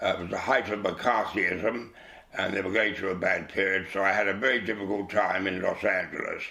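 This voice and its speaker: A man with a London accent and a fairly low pitch is heard with audible room echo and noticeable background noise. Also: fairly even intonation, fairly quick pace. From England, East London. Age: 80s+. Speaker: actor. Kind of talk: interview. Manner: halting.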